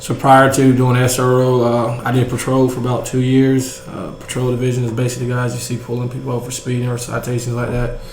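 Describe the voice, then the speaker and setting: A man with a Southern US accent talks very fast with hardly any pauses in a flat monotone, amid noticeable background noise and audible room echo. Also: medium pitch for a man. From US South, rural Georgia. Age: 20s. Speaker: school resource officer. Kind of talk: interview.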